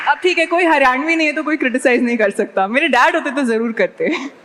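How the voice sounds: A woman's high voice with lively intonation and very even loudness over noticeable background noise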